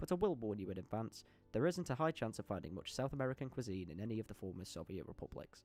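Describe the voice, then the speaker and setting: A man with a British accent talks at a very fast pace, his pitch in the medium range and swinging very widely. Music plays in the background. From United Kingdom. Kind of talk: football history commentary narration. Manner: humorous, casual.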